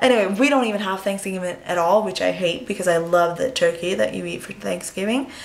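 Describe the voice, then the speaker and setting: A woman speaks at a moderate pace with a medium pitch. Noticeable background noise runs underneath. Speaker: beauty vlogger. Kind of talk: makeup tutorial. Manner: casual with many fillers.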